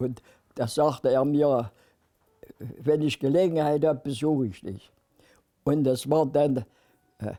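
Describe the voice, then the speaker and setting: A man with a fairly high voice talks at a very slow pace, with ordinary pitch variation. He leaves long, frequent pauses. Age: 90s. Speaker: war veteran. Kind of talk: testimony. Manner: halting.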